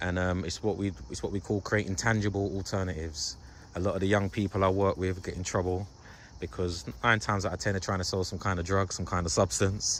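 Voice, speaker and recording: With a London accent and vocal fry, a man speaks at a very fast pace in a very deep, low pitch with ordinary pitch variation. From London, England. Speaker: youth worker and video host. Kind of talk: casual interview.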